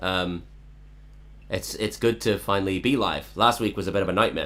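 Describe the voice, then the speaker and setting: A man with a fairly low pitch speaks with vocal fry and ordinary pitch variation. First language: Cantonese. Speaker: songwriter live streamer. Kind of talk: casual chat. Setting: online live stream.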